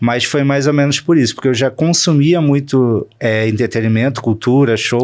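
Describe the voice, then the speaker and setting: This man has an unremarkable speaking voice at a medium pitch. He keeps a moderate pace. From Rio de Janeiro state, Volta Redonda and Niterói. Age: 30s. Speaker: entertainment journalist. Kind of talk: interview.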